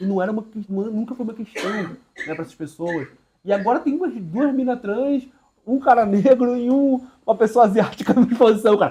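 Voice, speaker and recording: This man's high voice has a dark, mellow tone, ordinary pitch variation and big swings in loudness. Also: fairly quick pace. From Belém do Pará, northern Brazil. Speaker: visual artist. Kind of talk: seminar talk. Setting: room with live audience. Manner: casual, many fillers and restarts.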